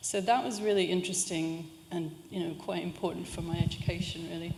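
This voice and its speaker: In a room with audible echo, a woman speaks at a moderate pace with ordinary pitch variation. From California, US. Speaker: university lecturer. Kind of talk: public talk. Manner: conversational with many fillers.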